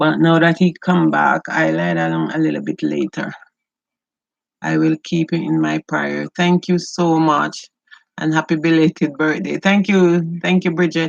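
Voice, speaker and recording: A woman speaks with a Jamaican accent. Her pace is fairly slow. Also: dry, close sound with no echo. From rural Jamaica. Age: 60s. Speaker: beauty and lifestyle vlogger. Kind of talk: casual livestream chat while cooking. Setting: home kitchen livestream.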